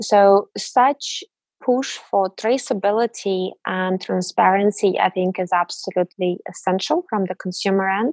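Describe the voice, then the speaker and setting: With a Russian accent, a woman speaks at a fairly slow pace, her medium pitch showing ordinary variation. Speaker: mobile industry program director. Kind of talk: interview.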